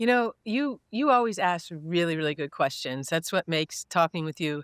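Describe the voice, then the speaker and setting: The recording of this woman is very clean with a silent background, and the sound is dry and close without any echo. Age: 60s. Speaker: corporate communications executive. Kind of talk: interview.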